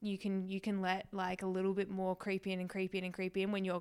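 Talking at a very fast pace with an Australian accent, a woman keeps her medium pitch in a flat monotone. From Western Australia. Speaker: vegan social media creator. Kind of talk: casual interview.

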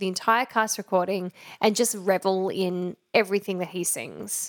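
A woman speaks with an Australian accent. The sound is dry and close with no echo. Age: 30s. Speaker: podcast host, musical theatre enthusiast. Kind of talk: casual chat.

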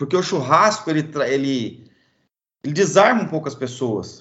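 A man uses a normal speaking voice with fairly high pitch. His intonation is lively. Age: 40s. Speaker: charcoal producer and pitmaster. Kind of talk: casual interview.

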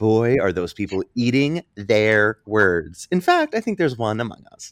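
The man's pitch swings very widely as he speaks at a moderate pace. The sound is dry and close with no echo. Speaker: podcast co-host. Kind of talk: casual chat.

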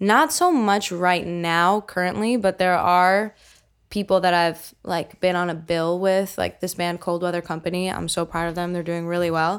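A woman with an unremarkable speaking voice and an American accent talks at a fairly low pitch and moderate pace. Her intonation is fairly even on a very clean recording with a silent background. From central New Jersey, US. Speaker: singer-songwriter. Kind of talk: casual chat.

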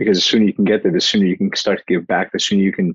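The speaker is a man. His voice sits very deep and low in pitch. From Portugal, raised in New Jersey. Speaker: mindset mentor and speaker. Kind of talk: podcast interview, motivational talk. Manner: fast talker, animated.

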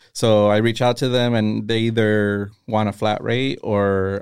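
An unremarkable speaking voice at a moderate pace. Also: man. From Castroville, California (Monterey County, US). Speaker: greeting card business owner and designer. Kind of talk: casual interview.

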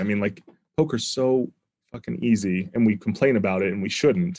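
Over a quiet background, a man uses a normal speaking voice, fairly low in pitch, with ordinary pitch variation at a moderate pace. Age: 30s. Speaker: professional poker player and academic. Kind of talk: casual interview.

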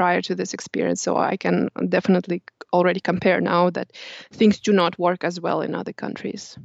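Her voice sits fairly low for a woman, with vocal fry and fairly even intonation. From Kazakhstan. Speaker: yoga teacher, former corporate worker. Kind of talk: interview.

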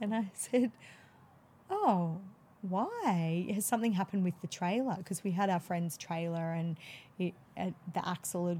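A woman speaks with an Australian accent and a fairly low pitch. Her tone is dark and mellow, and somewhat breathy. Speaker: midwife. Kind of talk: casual interview.

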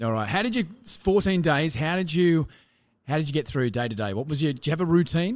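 A man with an Australian accent talks at a fairly quick pace, his pitch swinging very widely. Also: fairly high pitch for a man. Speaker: podcast host. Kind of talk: casual interview; scripted presenting.

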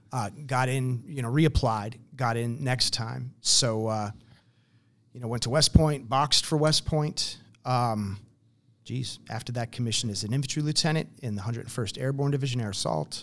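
In an American accent, a man speaks at medium pitch and a moderate pace with ordinary pitch variation. The recording is very clean, with a silent background. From New Jersey. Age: 50s. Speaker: military veteran and nonprofit director. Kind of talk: interview conversation.

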